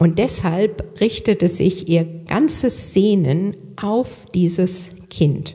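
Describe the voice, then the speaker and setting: Speaking at a very slow pace with hardly any pauses, a woman shows ordinary pitch variation. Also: medium pitch for a woman, very even loudness. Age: 60s. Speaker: lay preacher. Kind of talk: sermon.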